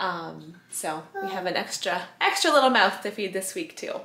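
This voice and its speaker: There is audible room echo around this woman's voice. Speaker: vlogger. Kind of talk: casual vlog chat. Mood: cheerful, relaxed. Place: kitchen. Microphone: phone near.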